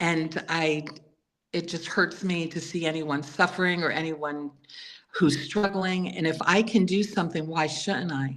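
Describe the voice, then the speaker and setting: With an American accent, a woman in an ordinary speaking voice talks at a fairly slow pace, her fairly low pitch showing ordinary variation. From New York City. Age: 60s. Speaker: author and former healthcare worker. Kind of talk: interview.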